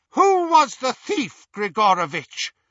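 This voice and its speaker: Put-on character voice from a man, extremely high in pitch with very wide pitch swings, at a fairly slow pace. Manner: cold, menacing interrogation.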